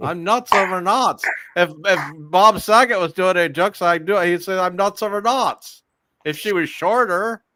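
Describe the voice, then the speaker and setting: A man's raised, projected voice, high-pitched, bright and sharp in tone, with ordinary pitch variation at a moderate pace. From Canada. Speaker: comedian. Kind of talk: casual chat.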